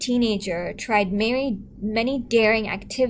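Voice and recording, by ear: Natural-voiced reading aloud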